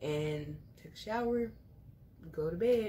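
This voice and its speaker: A somewhat breathy woman's voice. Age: 20s. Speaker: teacher and vlogger. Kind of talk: casual vlog talk to camera.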